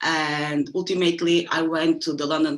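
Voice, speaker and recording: A woman with a Portuguese accent, very deep and low in pitch, at a moderate pace. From Angola. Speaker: fashion media practitioner. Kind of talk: panel discussion.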